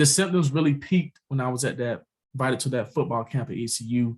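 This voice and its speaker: This man's voice has a medium pitch. It sounds somewhat breathy. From US South. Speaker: cancer survivor and author. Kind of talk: interview testimony.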